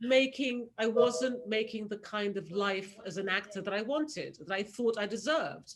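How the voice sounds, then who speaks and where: A woman with a British accent, fairly high pitch, lively intonation and a moderate pace. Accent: proper British. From Nigeria, schooled in Britain. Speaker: casting director. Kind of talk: casual chat.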